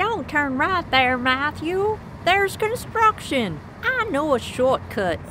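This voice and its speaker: This woman uses a put-on character voice with a high pitch, speaking at a fairly slow pace. Her loudness stays very even over clear background noise. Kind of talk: audio drama.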